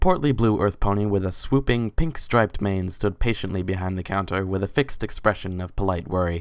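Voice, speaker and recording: The speaking pace is fairly quick. Behind it, music can be heard. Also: man. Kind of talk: dramatic story narration.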